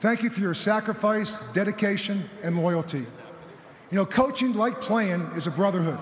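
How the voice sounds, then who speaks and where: A man's high-pitched voice at a moderate pace, with ordinary pitch variation, light background noise and audible room echo. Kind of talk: formal acceptance speech. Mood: emotional, grateful. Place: stadium. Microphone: podium.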